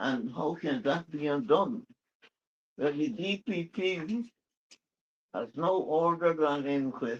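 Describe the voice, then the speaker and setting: A man talks at a very slow pace with long, frequent pauses. His voice is fairly high, with lively intonation. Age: 80s+. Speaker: elder statesman. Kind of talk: speech.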